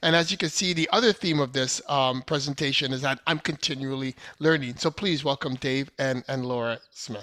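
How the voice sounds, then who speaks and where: A man with a bright, sharp tone and ordinary pitch variation is heard in a dry, close sound with no echo. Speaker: event moderator. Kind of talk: webinar moderation. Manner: pitch rising with excitement.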